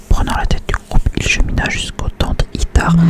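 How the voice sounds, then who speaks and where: A man is whispering over noticeable background noise. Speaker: ASMR creator. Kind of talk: whispered book reading. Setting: close to microphone. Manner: whispered.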